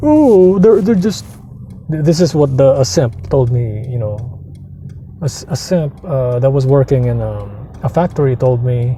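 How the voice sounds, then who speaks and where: Noticeable background noise sits behind a man who speaks fairly slowly at a medium pitch with lively intonation. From Philippines. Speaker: vlogger. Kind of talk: casual rant monologue. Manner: animated, repetitive restarts.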